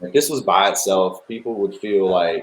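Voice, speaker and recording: A man with a Virginia accent speaks at a moderate pace. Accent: southern US (Virginia). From Chatham, Virginia (southern Virginia). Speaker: country singer and navy veteran. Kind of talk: interview. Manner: halting.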